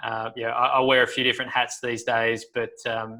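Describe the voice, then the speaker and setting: With an Australian accent, a man speaks at a moderate pace in a bright, sharp tone and medium pitch. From Australia, Sydney. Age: 30s. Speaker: professional golfer. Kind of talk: casual interview chat.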